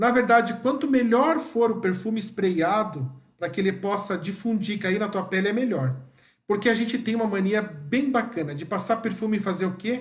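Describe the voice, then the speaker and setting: A man with a high voice talks at a moderate pace with ordinary pitch variation. Audible room echo surrounds him. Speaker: perfumer and pharmacist trainer. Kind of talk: live training session. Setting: livestream.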